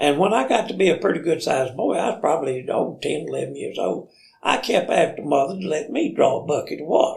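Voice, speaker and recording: Speaking with an Alabama accent, a man talks at a very fast pace. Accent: Southern US (Alabama). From US South, Limestone County, Alabama. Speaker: storyteller. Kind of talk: casual chat.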